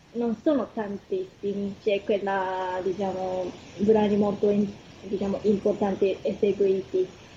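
Amid noticeable background noise, a woman with a Japanese accent speaks at a very slow pace. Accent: Japanese accent in Italian. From Japan, Kumamoto. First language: Japanese (speaking Italian). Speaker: concert pianist and piano teacher. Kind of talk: radio interview. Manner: hesitant, many fillers.

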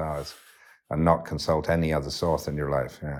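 A man with a very deep, low pitch speaks in a monotone, flat intonation on a very clean recording with a silent background. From West Yorkshire, England. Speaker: poet and philosopher. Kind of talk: interview. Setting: cottage by a fire. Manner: halting, with many fillers.

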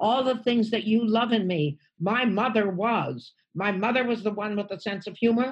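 With an American accent, a woman speaks somewhat breathily at a fairly high pitch and moderate pace, her pitch variation ordinary. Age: 80s+. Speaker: stand-up comedian. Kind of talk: casual chat.

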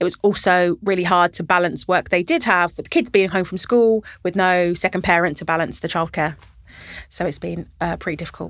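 In a London accent, a woman talks at a fairly quick pace with fairly even intonation, in a dry, close sound with no echo on a very clean recording with a silent background. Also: fairly low pitch for a woman. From London, Camden. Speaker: local politician, mayor. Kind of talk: interview. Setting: studio.

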